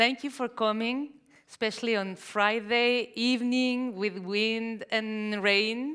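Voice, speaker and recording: A woman's very slow, fairly high-pitched delivery, in a Mexican accent, with fairly even intonation. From Mexico. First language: Spanish. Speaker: novelist. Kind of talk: onstage interview. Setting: library event with audience. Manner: halting.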